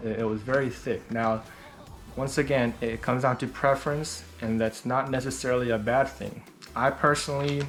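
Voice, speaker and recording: Music plays in the background as a man speaks at a medium pitch and a moderate pace. His intonation is fairly even. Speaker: skateboarder, shoe reviewer. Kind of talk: casual talk to camera. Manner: stuttering.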